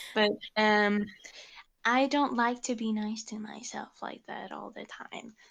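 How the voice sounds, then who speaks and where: A fairly high-pitched woman at a fairly slow pace, her intonation fairly even but her loudness swinging widely. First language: not English. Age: 18. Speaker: digital artist. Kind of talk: casual interview chat. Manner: halting, many fillers.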